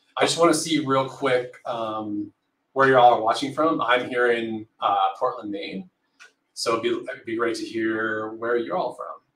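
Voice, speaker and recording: Amid audible room echo, a man speaks at a moderate pace with ordinary pitch variation. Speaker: livestream host. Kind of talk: livestream introduction. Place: home room.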